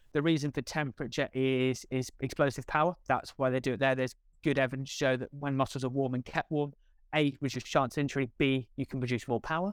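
Speaking very fast, a man keeps his medium pitch fairly even, with a dry, close sound with no echo and a very clean recording over a silent background. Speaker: altitude performance specialist. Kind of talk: expert interview explanation.

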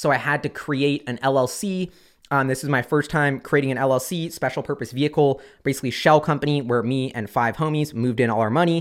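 A plain, everyday voice at a fairly quick pace with ordinary pitch variation, on a very clean recording with a silent background. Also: man. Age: 20s. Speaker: investing YouTuber. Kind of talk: casual monologue.

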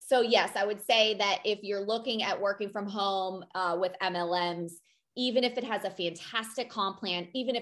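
A woman's medium-pitched voice moves at a moderate pace, with ordinary pitch variation. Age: 40s. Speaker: podcast co-host, former military. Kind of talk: casual chat.

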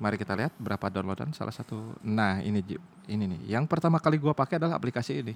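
A man with a strong West Javanese accent talks at a very fast pace in a medium pitch, his voice swinging very widely in pitch, with a dry, close sound and no echo. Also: very clean recording, silent background. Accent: strong Sundanese. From West Java (Sundanese, Bandung). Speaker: podcast host, office worker. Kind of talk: casual chat. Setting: recording after work in the evening. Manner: animated, laughing often.

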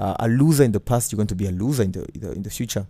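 A man at medium pitch, with ordinary pitch variation. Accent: Burundian. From Burundi. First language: Kirundi. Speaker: podcast host and former radio host. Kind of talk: casual monologue with faith talk.

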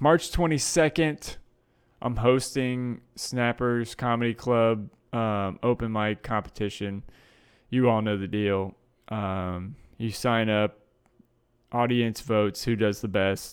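At a very slow pace, a man of medium pitch speaks with long, frequent pauses. The recording is very clean, with a silent background. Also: ordinary pitch variation. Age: 20s. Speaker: comedian and podcast host. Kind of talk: casual solo chat. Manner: many filler words.

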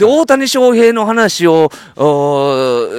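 His speech moves in very wide pitch swings as this man talks. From Kansai. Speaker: podcast host. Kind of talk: casual chat. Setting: outdoors on a walk. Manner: animated, frequent laughter.

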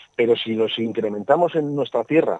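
The tone is dark and mellow, delivered at a moderate pace. The sound is dry and close, with no echo. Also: man. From Spain, Burgos (Castile). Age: 60s. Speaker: agricultural engineer. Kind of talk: radio interview. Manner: halting, many repetitions and fillers.

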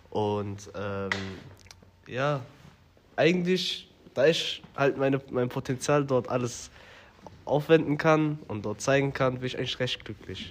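Pausing long and often, a man talks very slowly at a medium pitch, his pitch varying in an ordinary way. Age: 20s. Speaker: business developer. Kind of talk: interview. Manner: hesitant, many fillers.

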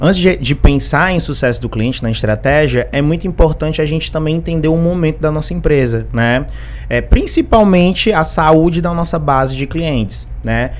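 A man speaks at a moderate pace with hardly any pauses. Noticeable background noise can be heard. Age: 30s. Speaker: customer success specialist. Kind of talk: podcast interview.

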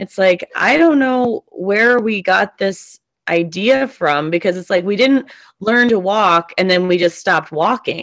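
A woman speaks fairly slowly at medium pitch, in an unremarkable speaking voice. Her intonation is lively. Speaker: podcast host and substitute teacher. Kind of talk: casual chat.

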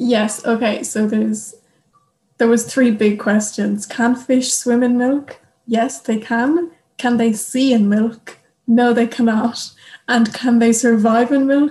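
The speaker has an Irish accent and talks at a very slow pace. Intonation is fairly even and loudness very even. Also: woman, fairly high pitch for a woman. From Ireland. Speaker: youth delegate, au pair. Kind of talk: casual chat.

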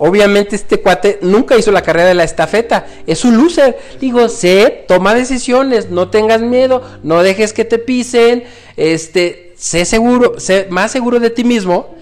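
The pace is moderate. Loudness stays very even throughout. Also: man, high pitch for a man, ordinary pitch variation. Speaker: airline pilot turned entrepreneur. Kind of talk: casual chat. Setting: living room at home.

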